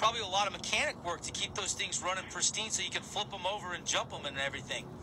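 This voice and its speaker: Amid noticeable background noise, a man speaks very fast in a high voice. His tone is upbeat and energetic. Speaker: radio sports show host. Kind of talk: radio interview host. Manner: upbeat, energetic. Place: studio. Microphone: studio mic.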